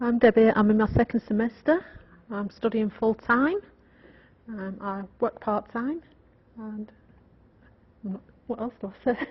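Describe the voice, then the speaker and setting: A woman with an English accent speaks somewhat breathily, with ordinary pitch variation and big swings in loudness. Long, frequent pauses break up her speech. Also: fairly high pitch for a woman, fairly slow pace. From England. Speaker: student. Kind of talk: self-introduction.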